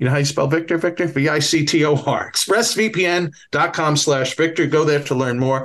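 The speaker has a Bronx accent and a fairly quick pace. Pitch varies in an ordinary way. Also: man, fairly high pitch for a man, fairly bright tone. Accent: Bronx New York.

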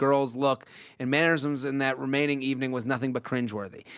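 Speaking at a very fast pace with an American accent, a man with fairly high pitch comes through on a very clean recording with a silent background. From Massachusetts. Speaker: podcast host and comedian. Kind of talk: casual comedic chat, reading listener emails. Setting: studio. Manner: animated.

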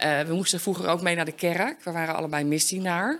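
This woman's voice sits fairly low for a woman, with vocal fry and ordinary pitch variation. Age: 50s. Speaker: recovering addict. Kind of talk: interview testimony.

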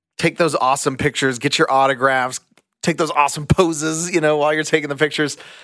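This man's voice sits fairly high and has a bright, sharp tone. The sound is dry and close with no echo, on a very clean recording with a silent background. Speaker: theme park podcast co-host. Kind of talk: casual chat; scripted recap tips. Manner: speeds up when excited.

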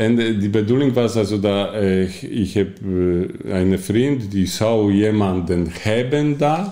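A man's fairly low, dark, mellow voice with a Polish accent, ordinary pitch variation and audible room echo. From Poland. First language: Polish (speaking Dutch). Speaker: coach and bookkeeper, former addict. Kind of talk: personal testimony in interview. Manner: halting.

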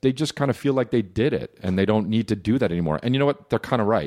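A man talks with a New Jersey accent and lively intonation. The recording is dry and close, with no echo. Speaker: comedian. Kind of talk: casual chat.

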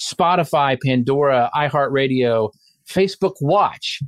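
A man's ordinary speaking voice, fairly high in pitch with ordinary variation, in a dry, close sound with no echo. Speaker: social media marketing expert. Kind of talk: casual chat.

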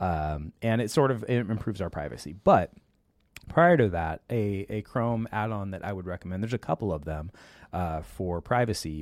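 Moving at a fairly quick pace, a man with a normal speaking voice speaks in a fairly low pitch with lively intonation. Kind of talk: casual educational talk show. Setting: live online show with audience. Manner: informal, chatty.

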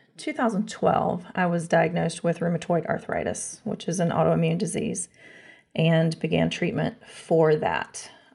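Fairly low-pitched female voice in an American accent, with vocal fry and a fairly slow pace. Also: fairly even intonation. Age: 40s. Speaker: COVID long hauler. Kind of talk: interview. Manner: halting.

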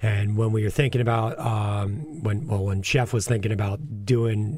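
A man talks at a moderate pace in a fairly low, somewhat breathy voice with ordinary pitch variation. The recording is very clean, with a silent background. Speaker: chef. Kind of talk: casual chat.

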